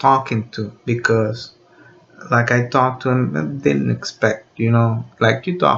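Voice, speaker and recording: Over noticeable background noise, a man with a Spanish accent speaks at a medium pitch with ordinary pitch variation. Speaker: video blogger. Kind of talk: unscripted monologue. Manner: halting, many fillers.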